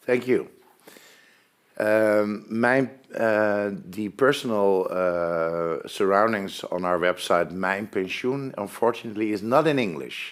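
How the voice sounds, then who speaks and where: Speaking very slowly in a Dutch accent, a man uses a fairly low pitch with ordinary pitch variation. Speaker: pension fund presenter. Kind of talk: webinar presentation. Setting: online webinar.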